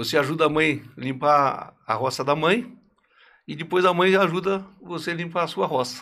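Speaking at a moderate pace, a man has a bright, sharp tone at a fairly high pitch, with ordinary pitch variation. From Santa Catarina countryside, southern Brazil. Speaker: furniture company founder. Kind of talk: interview storytelling.

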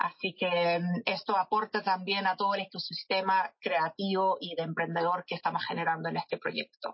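A woman talks in a monotone, flat intonation with hardly any pauses. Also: medium pitch for a woman, moderate pace. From England, London. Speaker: marketing director. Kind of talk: interview.

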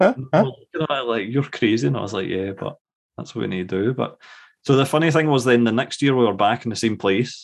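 A man talks at a fairly quick pace with a Scottish accent, his medium-pitched voice carrying lively intonation. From Scotland. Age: 30s. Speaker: guest baseball fan. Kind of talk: casual conversation.

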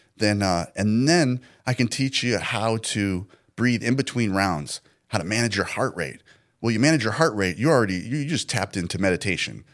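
With a normal speaking voice, a man talks at a fairly quick pace at a fairly low pitch, his intonation lively. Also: very clean recording, silent background. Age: 40s. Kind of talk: podcast interview.

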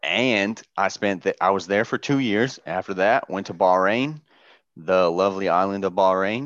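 A man with an American accent, an unremarkable speaking voice, fairly low pitch, ordinary pitch variation, moderate pace and a quiet background. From Southern Indiana, US. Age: 20s. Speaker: podcast co-host, navy sailor. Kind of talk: casual chat.

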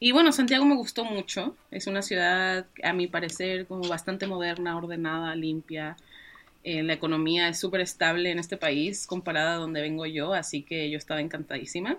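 The voice moves at a fairly quick pace. It is an unremarkable speaking voice with ordinary pitch variation. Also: woman, fairly low pitch for a woman, very clean recording, silent background. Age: 20s. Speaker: author and web developer. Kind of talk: interview.

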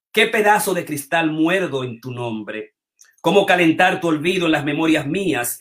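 The pace is moderate. Pitch variation is ordinary. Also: man. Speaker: show host and metapoet. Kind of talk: live online show hosting, with poetry reading. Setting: online video stream.

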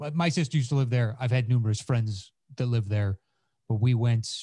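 At a fairly quick pace, a man speaks in a dark, mellow tone that is somewhat breathy, with fairly even intonation and a dry, close sound with no echo. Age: 40s. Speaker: comedian and podcaster. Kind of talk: casual chat. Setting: video call.

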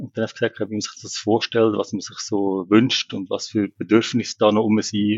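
This is an unremarkable speaking voice from a man with a fairly low pitch. He talks at a moderate pace. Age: 40s. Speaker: co-parenting father. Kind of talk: casual interview.

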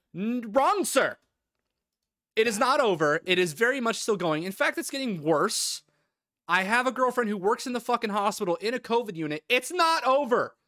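A man's extremely high, raised and projected voice with very wide pitch swings, a bright, sharp tone and a moderate pace, dry and close with no echo. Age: 20s. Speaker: podcast co-host and streamer. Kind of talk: casual chat; reading notes aloud. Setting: online call over Discord.

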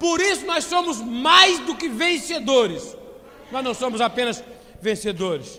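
Over noticeable background noise, a man with an extremely high pitch and very wide pitch swings speaks at a fairly slow pace in a raised, projected voice. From Brazil, Petrópolis (Rio de Janeiro state). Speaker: preacher. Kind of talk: sermon. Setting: church with congregation, streamed online.

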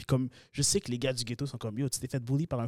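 A man speaks very fast in a Quebec accent. The recording is very clean and dry, close with no echo, and the background silent. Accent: regional Quebec accent others often notice. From Quebec, Sherbrooke. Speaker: content creator. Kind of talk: casual chat.

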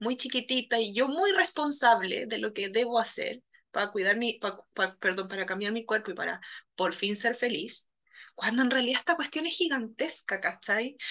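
With a bright, sharp tone and lively intonation, a woman speaks at a moderate pace in a fairly high pitch. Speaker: podcast host and psychologist. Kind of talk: casual chat.

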